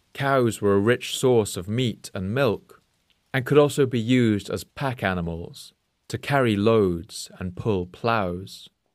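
Recorded very cleanly against a silent background, a man talks fairly slowly in a plain, everyday voice at a medium pitch with ordinary pitch variation. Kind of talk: history documentary narration. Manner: measured, steady, formal explanatory delivery.

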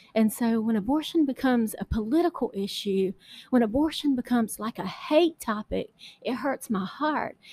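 A woman's high-pitched voice with a dark, mellow tone, lively intonation and a moderate pace, in a dry, close sound with no echo. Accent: Southern US. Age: 40s. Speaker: podcast host and political candidate. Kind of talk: personal testimony. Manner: halting.

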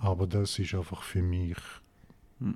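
A man's very deep, low voice in a St. Gallen accent, dark and mellow in tone, somewhat breathy, at a moderate pace. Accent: St. Gallen Swiss German. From Switzerland, St. Gallen. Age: 40s. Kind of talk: casual interview.

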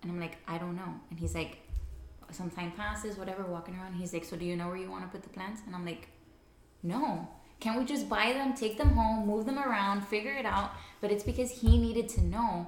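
A woman at medium pitch and a fairly quick pace, with ordinary pitch variation and big swings in loudness, amid noticeable background noise and audible room echo. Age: 20s. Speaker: astrology enthusiast. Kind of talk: casual chat.

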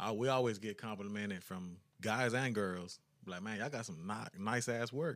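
A man with an American accent, fairly low in pitch, at a moderate pace with ordinary pitch variation. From Texas (Brownsville, Huntsville). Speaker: rapper. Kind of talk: casual interview.

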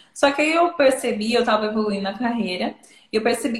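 With an unremarkable speaking voice, a woman speaks at a fairly high pitch in a fairly even intonation. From interior of São Paulo state, Brazil. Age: 20s. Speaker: data product manager and content creator. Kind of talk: casual live-stream interview.

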